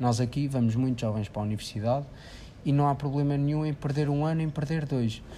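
Talking at a very fast pace, a man with a European Portuguese accent has a fairly high pitch, a dark, mellow tone and fairly even intonation. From Portugal, Figueira da Foz. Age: 20s. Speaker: engineering student. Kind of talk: casual interview.

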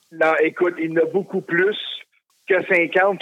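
A man speaks at a fairly slow pace. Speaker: wrestling belt collector. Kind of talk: casual interview.

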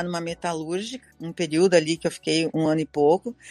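Music plays in the background as a woman with a fairly low pitch speaks, the sound dry and close with no echo. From Rio Grande do Sul, Brazil (Campo Bom). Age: 60s. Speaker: retired shoe store owner. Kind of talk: life-story interview.

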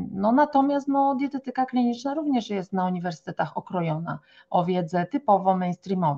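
Her medium-pitched, somewhat breathy voice moves at a fairly quick pace through very wide pitch swings. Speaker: naturopath. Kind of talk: podcast interview. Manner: animated.

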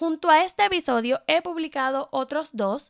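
A high-pitched woman with lively intonation, dry and close with no echo, in a very clean recording with a silent background. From Puerto Rico. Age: 30s. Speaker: digital marketing podcaster. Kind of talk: solo podcast monologue.

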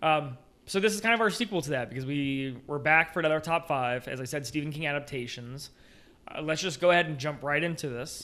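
With a bright, sharp tone and a fairly high pitch, a man talks at a very fast pace with ordinary pitch variation, captured on a very clean recording against a silent background. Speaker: podcast host. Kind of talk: casual chat.

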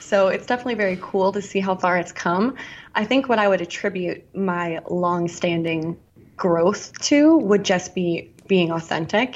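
It is an ordinary speaking voice with ordinary pitch variation. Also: woman, medium pitch for a woman, moderate pace. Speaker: YouTuber influencer. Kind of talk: casual interview chat.

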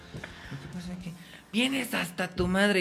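A man with lively intonation talks at a moderate pace, and noticeable background noise runs throughout. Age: 20s. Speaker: actor. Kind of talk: casual chat.

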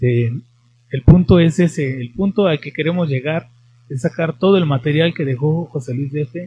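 An unremarkable speaking voice from a man, fairly high in pitch. He keeps a moderate pace with ordinary pitch variation. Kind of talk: interview and casual chat. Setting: studio, streamed live on Facebook.

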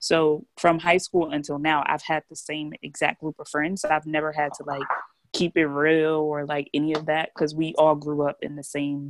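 Spoken at a moderate pace in a monotone, flat delivery, the voice swings widely in loudness and sounds dry and close with no echo. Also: woman, very deep, low pitch for a woman. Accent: American. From New Jersey. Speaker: podcast co-host. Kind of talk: casual chat.

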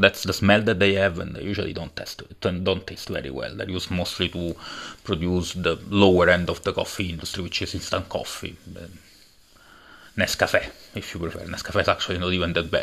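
At a fairly quick pace, a man with a very deep, low voice keeps a monotone, flat intonation while his loudness swings widely. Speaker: podcast host and coffee entrepreneur. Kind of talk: solo monologue. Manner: halting, many fillers; conversational, rambling.

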